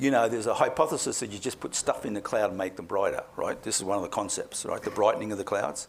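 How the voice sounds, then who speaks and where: Against noticeable background noise, a man with an Australian accent talks at a very fast pace. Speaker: climate scientist. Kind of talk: public talk Q&A.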